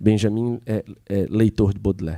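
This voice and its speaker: With a Piauí accent, a man talks at a fairly low pitch and a fairly slow pace, his tone dark and mellow and his intonation fairly even. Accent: Piauí, northeastern Brazilian. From Brazil, Piauí. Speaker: seminar organizer. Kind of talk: seminar talk.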